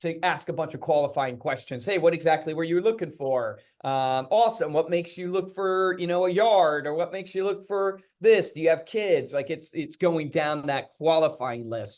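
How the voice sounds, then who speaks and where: The man's pitch is high, with ordinary pitch variation. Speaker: real estate agent and coach. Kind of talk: training presentation. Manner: fast.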